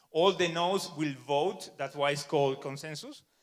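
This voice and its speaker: A man with a Spanish accent, fairly high in pitch, at a moderate pace with ordinary pitch variation. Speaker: software developer, conference speaker. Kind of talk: conference talk.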